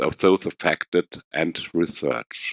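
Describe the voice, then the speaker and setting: The sound is close and dry, without any echo. A man talks. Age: 50s. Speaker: patient advocate. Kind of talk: conference presentation. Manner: formal.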